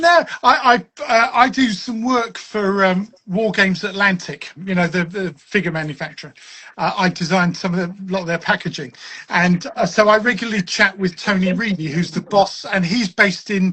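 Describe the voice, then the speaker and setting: The speech moves at a moderate pace, with ordinary pitch variation. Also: man, high pitch for a man. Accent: southern English. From southern England, Westcliff-on-Sea, Essex. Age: 60s. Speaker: wargaming author and designer. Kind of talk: casual chat.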